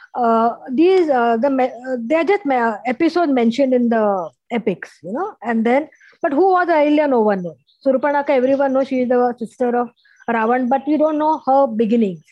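Here a woman speaks at a high pitch. Her intonation is lively. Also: moderate pace. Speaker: novelist. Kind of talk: interview.

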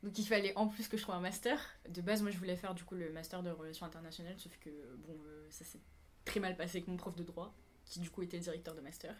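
Very fast, somewhat breathy speech from a woman, fairly low in pitch, fairly even in intonation, with big swings in loudness. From Réunion. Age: 20s. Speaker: flight attendant, dancer. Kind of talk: casual chat.

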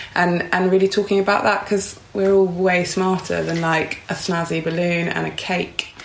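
A woman's flat, monotone delivery at a moderate pace, over noticeable background noise. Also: medium pitch for a woman. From London. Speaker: beauty PR. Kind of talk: casual chat.

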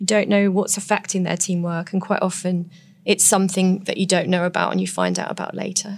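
A woman talks at a fairly quick pace with an English accent. Her medium-pitched delivery stays monotone and flat. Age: 40s. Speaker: nurse turned author. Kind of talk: interview.

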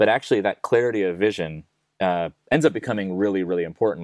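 In a normal speaking voice, a man with an American accent talks at a fairly quick pace and fairly low pitch, with ordinary pitch variation, a dry, close sound with no echo and a very clean recording over a silent background. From United States. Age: 40s. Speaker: music tech startup CEO. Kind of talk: interview.

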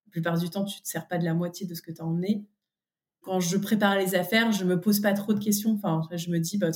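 A somewhat breathy woman's voice at medium pitch, with fairly even intonation. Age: 30s. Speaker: podcast guest, mother. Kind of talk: casual interview. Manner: hesitant, many fillers.

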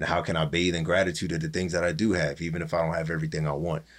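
With a Pennsylvania accent, a man speaks in a very deep, low voice on a very clean recording with a silent background. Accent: Pennsylvania, urban US East Coast. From Allentown, Pennsylvania. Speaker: rapper. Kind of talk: casual podcast interview.

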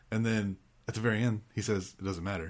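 A man's normal speaking voice at medium pitch and a fairly quick pace, on a very clean recording with a silent background. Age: 40s. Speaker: podcaster, film enthusiast. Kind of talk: casual chat.

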